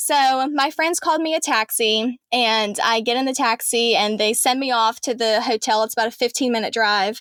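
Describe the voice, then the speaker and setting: A woman with an American accent talks at a high pitch and a moderate pace, with ordinary pitch variation, very even loudness and hardly any pauses, on a very clean recording with a silent background. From Alabama, US South. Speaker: reporter. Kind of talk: interview storytelling.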